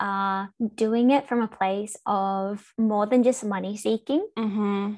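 On a very clean recording with a silent background, a woman speaks at a very slow pace and a fairly high pitch, with fairly even intonation and an Australian accent. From Australia, Melbourne. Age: 20s. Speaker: small business owner. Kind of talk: casual interview chat.

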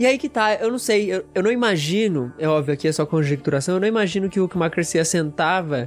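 A man with a Brazilian accent, lively intonation and a very fast pace. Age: 20s. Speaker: seminary student and youth leader. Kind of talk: casual chat.

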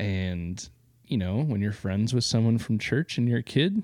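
Against a quiet background, a man with a Midwestern American accent speaks at a fairly quick pace. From eastern Iowa. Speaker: podcast co-host. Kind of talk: casual chat. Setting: home basement.

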